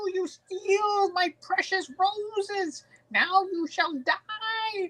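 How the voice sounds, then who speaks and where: A put-on character voice, pitched extremely high and delivered at a very slow pace. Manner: distinguished, threatening.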